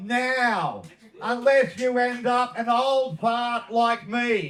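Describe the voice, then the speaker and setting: Speaking at a very slow pace, a man with an Australian accent has an extremely high voice. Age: 60s. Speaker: cannabis activist. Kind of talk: speech.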